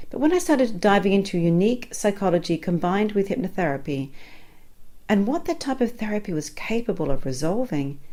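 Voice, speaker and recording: Here a woman talks at a fairly quick pace. Her tone is dark and mellow, with very wide pitch swings. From Australia. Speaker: hypnotherapist. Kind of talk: sales pitch.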